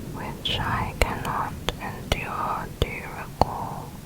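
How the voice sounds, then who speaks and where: Very slowly, a whispered voice comes through with noticeable background noise. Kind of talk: ASMR poetry reading.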